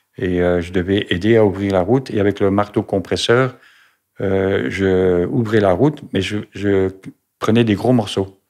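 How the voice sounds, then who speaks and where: Over a quiet background, a man with a fairly low pitch talks at a fairly slow pace with ordinary pitch variation. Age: 60s. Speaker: retired truck driver, cancer patient. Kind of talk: testimony. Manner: halting, many hesitations.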